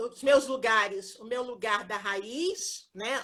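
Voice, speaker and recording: Very slow speech comes from a woman with a high pitch and lively intonation. Her tone is bright and sharp. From Rio de Janeiro, Brazil. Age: 60s. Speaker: occupational therapy professor. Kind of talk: live interview. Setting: Instagram live video.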